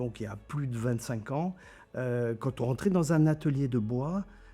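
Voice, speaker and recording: Music in the background beneath a man's lively intonation. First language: German (speaking French). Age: 60s. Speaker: trade journalist, editor-in-chief. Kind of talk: interview. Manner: hesitant, many fillers and repetitions.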